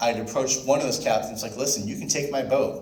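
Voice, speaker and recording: Noticeable background noise and audible room echo surround a man whose intonation stays fairly even. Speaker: sailing charter business owner. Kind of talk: club presentation with Q&A. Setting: club member meeting. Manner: fast.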